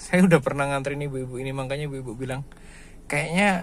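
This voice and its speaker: This man speaks at a medium pitch. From East Java, Indonesia. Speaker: ride-hailing driver vlogger. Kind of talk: casual driving vlog. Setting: in a car.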